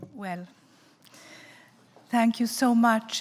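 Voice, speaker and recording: A woman speaks at a fairly high pitch, somewhat breathy, in a monotone, flat intonation. The recording is very clean with a silent background. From Italy, Florence. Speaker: festival speaker. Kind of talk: talk. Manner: slow.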